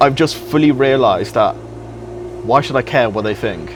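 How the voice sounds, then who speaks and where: A man with a British accent over noticeable background noise. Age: young. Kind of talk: interview answer.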